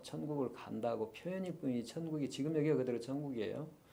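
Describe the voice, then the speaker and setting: The dark, mellow tone moves at a fairly quick pace with lively intonation, and audible room echo surrounds it. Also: man. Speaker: lecturer on Eastern philosophy. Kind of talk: lecture. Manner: fast.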